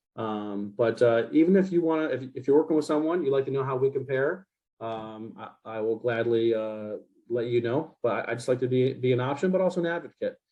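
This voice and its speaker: Speaking at a fairly quick pace, a man uses medium pitch and ordinary pitch variation. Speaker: home warranty representative. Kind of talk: presentation to realtors. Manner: fast; animated.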